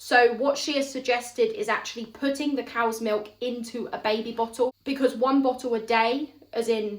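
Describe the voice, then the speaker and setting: With a southern English accent, a woman speaks in a high pitch and fairly even intonation. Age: 30s. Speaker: mother, parenting vlogger. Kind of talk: casual talk to camera.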